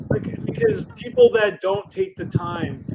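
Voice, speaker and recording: A man talks at a moderate pace, his pitch varying ordinarily, with noticeable background noise present. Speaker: podcast host. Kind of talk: casual chat.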